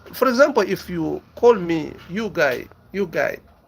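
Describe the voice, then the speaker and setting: The pitch of this man's voice swings very widely. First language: a local African language. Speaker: business YouTuber. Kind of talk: casual monologue answering viewer questions. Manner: halting, repeats words.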